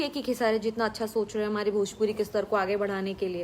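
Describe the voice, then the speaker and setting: A woman speaks with a Bihari accent. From Bhojpuri-speaking region, India (Bihar/eastern UP). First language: Bhojpuri (speaking Hindi). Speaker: film actress. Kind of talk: answering fan questions.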